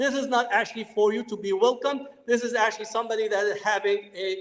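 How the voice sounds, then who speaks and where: Noticeable background noise under a man's high voice at a moderate pace. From Palestinian family. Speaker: professor. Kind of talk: lecture.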